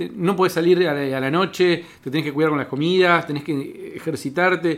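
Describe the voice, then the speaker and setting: Moderately paced, high male speech with ordinary pitch variation. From Cipolletti, Río Negro, Argentina. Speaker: stand-up comedian. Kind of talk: casual chat.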